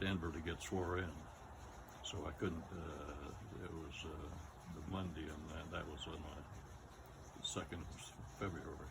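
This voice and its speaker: Through noticeable background noise and audible room echo, a man speaks in a very deep, low pitch with fairly even intonation. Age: 90s. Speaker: war veteran. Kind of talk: interview. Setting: outdoors. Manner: halting.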